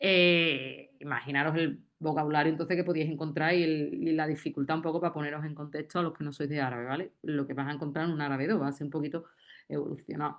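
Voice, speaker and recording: With a strong Andalusian accent, a woman speaks at a very fast pace in a very deep, low voice. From Andalusia, Spain. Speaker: university lecturer in Arabic. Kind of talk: round-table discussion. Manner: animated.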